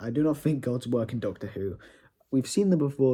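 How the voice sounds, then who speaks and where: Somewhat breathy, this man's voice sits at a fairly high pitch with a dark, mellow tone. The recording is very clean, with a silent background. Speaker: YouTuber reviewing TV episodes. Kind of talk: casual rant. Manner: halting, many repetitions.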